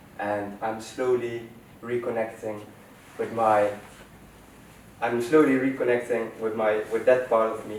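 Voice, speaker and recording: A man with a Dutch accent talks at a fairly slow pace. Audible room echo surrounds his voice. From Netherlands. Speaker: student presenter. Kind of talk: personal story presentation.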